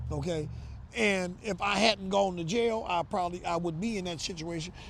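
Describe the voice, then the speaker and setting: With an American accent, a man talks at a fairly quick pace in a high voice with ordinary pitch variation. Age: 60s. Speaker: real estate investor. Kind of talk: interview. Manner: casual, conversational.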